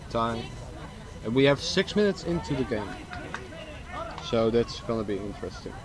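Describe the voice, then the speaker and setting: Over noticeable background noise, a man with a medium pitch and lively intonation moves at a fairly quick pace, broken by long, frequent pauses. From Netherlands. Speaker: sports commentator. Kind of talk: live commentary.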